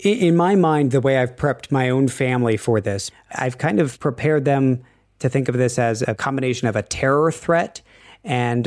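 With a General American accent and an unremarkable speaking voice, a man talks at a moderate pace, medium pitch and ordinary pitch variation. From US, Washington DC area. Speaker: foreign news correspondent. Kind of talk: interview. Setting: remote call from China.

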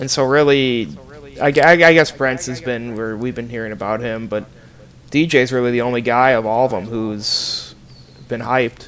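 Noticeable background noise sits behind a man of medium pitch who speaks at a moderate pace with ordinary pitch variation. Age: 20s. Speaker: podcast co-host, former student reporter. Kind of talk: casual chat.

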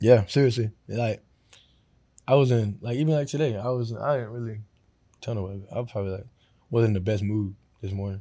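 In a very clean recording with a silent background, a man with an American accent talks fairly quickly at a medium pitch, his tone dark and mellow, with ordinary pitch variation and long, frequent pauses. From Florida. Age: 20s. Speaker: professional football player. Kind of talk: casual interview. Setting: studio.

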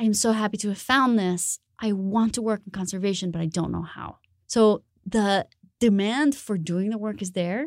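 In a Spanish accent, a woman speaks at a medium pitch. Her pace is moderate and her intonation fairly even. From Colombia, Bogota. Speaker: designer. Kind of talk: interview conversation.

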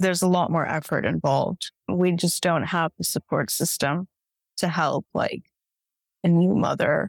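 Through a very clean recording with a silent background and a dry, close sound with no echo, a woman with a Californian accent speaks at a moderate pace, her fairly low pitch carrying vocal fry and fairly even intonation. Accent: Californian American. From US, San Francisco Bay Area. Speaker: nonprofit fundraising and communications director. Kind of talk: casual interview.

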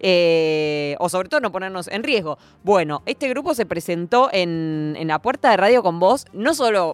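At a fairly slow pace and with hardly any pauses, a woman of medium pitch speaks with very wide pitch swings. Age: young. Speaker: radio host. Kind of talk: casual chat.

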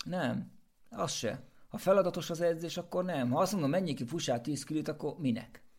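Speaking at a moderate pace, a man with an ordinary speaking voice uses a fairly high pitch and ordinary pitch variation. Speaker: race walker and runner, coach. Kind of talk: casual chat.

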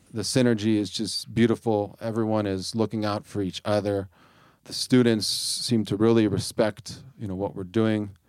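At a moderate pace, the speaker talks in a Midwestern American accent with monotone, flat intonation. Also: man, fairly low pitch for a man. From US Midwest, Ohio. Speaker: bilingual education support worker. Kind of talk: casual interview.

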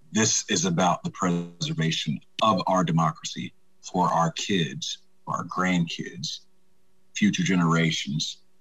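This man talks at a fairly slow pace. He has a Southern US accent. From US South, Troy, Alabama. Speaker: political candidate and army veteran. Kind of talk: interview.

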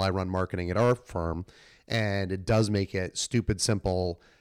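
A normal speaking voice with an American accent and fairly even intonation comes through in a very clean recording with a silent background, dry and close with no echo. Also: man. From New England, Massachusetts. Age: 40s. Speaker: podcast host. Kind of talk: interview. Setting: at a conference.

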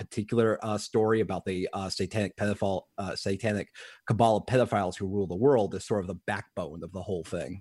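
Delivered at a fairly quick pace, an ordinary speaking voice keeps a fairly even intonation. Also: man. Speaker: conspiracy theory researcher. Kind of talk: radio interview. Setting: remote call.

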